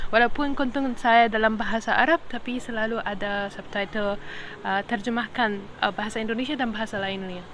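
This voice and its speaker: A woman's fairly high-pitched voice at a fairly quick pace. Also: fairly even intonation. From Egypt. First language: Arabic (speaking Indonesian). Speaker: podcaster. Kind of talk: casual monologue podcast. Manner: hesitant, many fillers.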